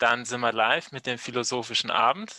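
A man's medium-pitched voice with ordinary pitch variation and a bright, sharp tone at a moderate pace, dry and close with no echo.

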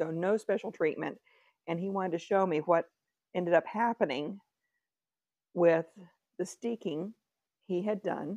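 A woman with a Texan accent speaks at a fairly low pitch in a dark, mellow tone, leaving long, frequent pauses, over a quiet background in a dry recording with no echo. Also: ordinary pitch variation, moderate pace. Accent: Texan Southern US. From Texas. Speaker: craft vlogger. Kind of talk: casual vlog chat. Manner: rambling, chatty. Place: home room. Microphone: lapel.

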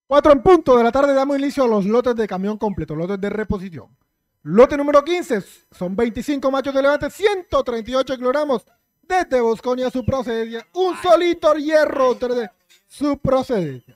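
A man's extremely high-pitched voice at a moderate pace, lively intonation, dry sound with no echo and a quiet background. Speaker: auction announcer. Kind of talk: promotional lot announcement. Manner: hyping, showman-like.

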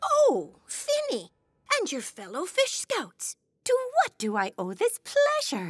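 This cartoonish character voice moves at a fairly slow pace. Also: female-sounding voice, extremely high pitch for a woman. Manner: gentle, polite, weary.

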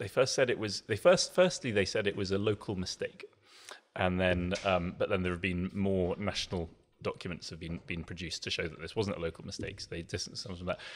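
This man talks at a very fast pace in a very deep, low voice, with fairly even intonation. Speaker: podcast guest. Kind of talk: interview answer. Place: studio. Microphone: studio mic.

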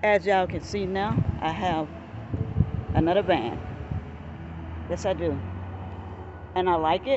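At a moderate pace, a woman talks in a fairly low pitch with lively intonation and long, frequent pauses. Noticeable background noise comes through. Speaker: van dweller. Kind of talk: casual talk to camera. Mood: cheerful, proud. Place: street. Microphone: phone near.

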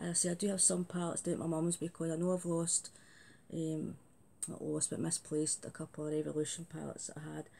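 A woman with a Glasgow accent speaks fairly quickly in a fairly low pitch with a dark, mellow tone. Her intonation is monotone and flat, with light background noise. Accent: Scottish (Glasgow). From Scotland, Glasgow area. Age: 50s. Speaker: beauty vlogger. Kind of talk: casual vlog chat. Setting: home video recording. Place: home room. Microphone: phone near.

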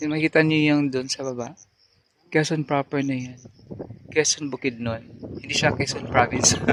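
At a moderate pace, the flat, monotone delivery comes through with noticeable background noise and a dry sound with no echo. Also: man, fairly high pitch for a man. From Philippines. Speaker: vlogger. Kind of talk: casual vlog chat. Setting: outdoors, mountain trip. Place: open country. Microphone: phone near.

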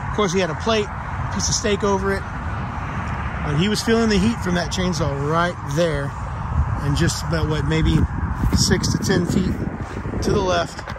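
Clear background noise sits behind a man speaking at a moderate pace with high pitch. His pitch variation is ordinary, and his pauses are long and frequent.

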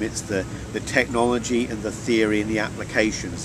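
Background noise is noticeable here. Over it, a man speaks at a moderate pace. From rural Norfolk, England. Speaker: chemistry lecturer, NMR researcher. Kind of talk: interview answer. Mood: relaxed, reflective. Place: waterside.

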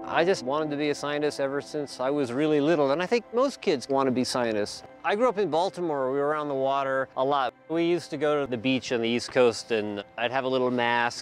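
Faint music plays behind a fairly quick delivery with hardly any pauses, ordinary pitch variation and a dry sound with no echo. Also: man. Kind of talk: interview answer. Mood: warm, enthusiastic. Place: waterside. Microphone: lapel.

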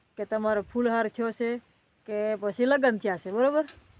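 The sound is dry and close with no echo, carrying a normal speaking voice. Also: woman. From Saurashtra, Gujarat (near Kodinar). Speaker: vlogger. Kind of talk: casual vlog talk to viewers.

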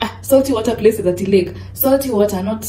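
Music plays behind a woman who talks at a moderate pace. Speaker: travel vlogger. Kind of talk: casual vlog chat. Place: home room. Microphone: phone near.

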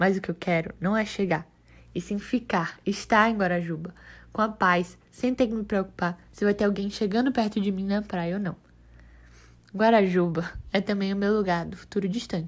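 Recorded very cleanly against a silent background, a woman with an unremarkable speaking voice talks at a moderate pace and medium pitch, her intonation fairly even. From Brazil, Salvador (Bahia). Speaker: journalism student. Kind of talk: scripted narration.

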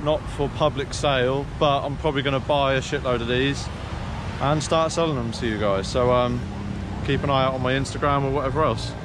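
A man's voice comes through with a dry sound and no echo. Noticeable background noise can be heard. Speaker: motocross vlogger. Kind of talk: casual vlog chat. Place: open country. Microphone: phone near.

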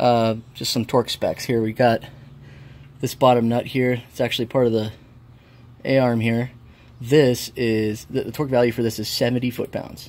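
A man with a medium pitch speaks at a moderate speed, keeping his intonation fairly even. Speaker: amateur car mechanic. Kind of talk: casual DIY how-to talk to camera. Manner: casual, hesitant, many filler words. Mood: relaxed, friendly. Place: garage. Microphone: phone near.

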